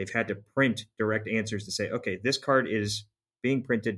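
In a very clean recording with a silent background, a man with a plain, everyday voice talks at a moderate pace, his pitch fairly low and his intonation fairly even. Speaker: podcast co-host for a season arc. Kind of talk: casual chat about card games. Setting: studio.

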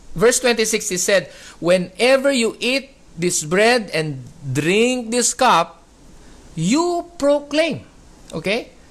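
This speaker talks at a very slow pace with a Filipino accent. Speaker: preacher. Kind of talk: sermon. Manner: emphatic, repeats key words.

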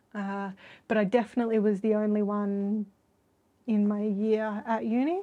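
Over long, frequent pauses, a woman with an Australian accent speaks at a moderate pace in a fairly high voice with a dark, mellow tone and monotone, flat intonation. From Australia, Sydney. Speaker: artist. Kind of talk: interview conversation. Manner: hesitant, many filler words.

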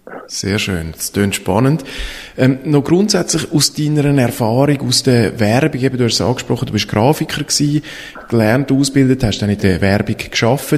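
Lively intonation at a moderate pace against noticeable background noise. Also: man, medium pitch for a man. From Switzerland, Eglisau (canton of Zurich). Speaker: podcast host, storytelling consultant. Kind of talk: interview.

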